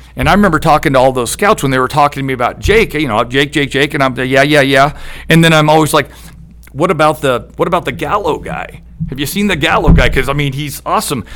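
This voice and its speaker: This man has an American accent and a fairly high pitch with ordinary variation. He talks at a very fast pace over noticeable background noise. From US Pacific Northwest (Eugene, Oregon). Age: 50s. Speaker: former high school baseball head coach. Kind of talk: casual interview.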